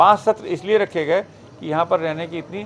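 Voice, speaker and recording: A man's high voice with ordinary pitch variation, a moderate pace and noticeable background noise. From Uttar Pradesh, Shahjahanpur. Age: 60s. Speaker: meditation trainer. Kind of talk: talk to audience. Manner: conversational, with fillers.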